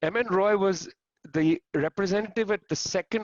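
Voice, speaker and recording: A man talks with a strong Punjabi accent. His tone is animated, with ordinary pitch variation. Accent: thick Punjabi. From India, Punjab. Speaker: historian. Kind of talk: panel talk.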